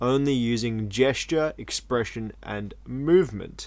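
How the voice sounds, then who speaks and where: A man uses an ordinary speaking voice, medium in pitch with ordinary pitch variation. He goes at a fairly slow pace in a very clean recording with a silent background. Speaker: podcast host, clown. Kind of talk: casual chat.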